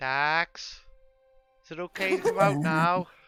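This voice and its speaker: A man uses a put-on character voice, pitched high, at a fairly slow pace. Faint music plays in the background. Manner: timid, hesitant.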